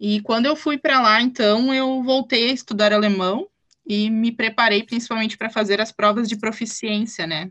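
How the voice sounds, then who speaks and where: A woman with an ordinary speaking voice talks at a moderate pace in a fairly high pitch. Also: fairly even intonation. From southern Brazil, German-colonized town in Rio Grande do Sul. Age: 20s. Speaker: German teacher. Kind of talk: casual interview.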